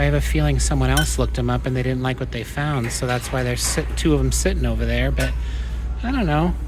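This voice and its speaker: Over music in the background, a man speaks at a fairly quick pace in a monotone, flat intonation. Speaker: thrift reseller vlogger. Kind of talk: casual vlog chat. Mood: cheerful, musing. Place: shop. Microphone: phone near.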